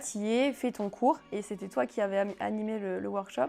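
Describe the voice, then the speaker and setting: A woman has an ordinary speaking voice at a medium pitch. She talks at a moderate pace. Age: 20s. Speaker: sales manager, pole dance student. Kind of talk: interview.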